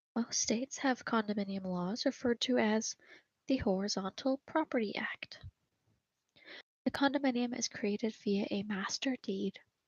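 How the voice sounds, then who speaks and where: This soft-spoken delivery keeps to a moderate pace. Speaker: ASMR creator. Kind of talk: ASMR study guide reading. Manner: soft-spoken, quiet.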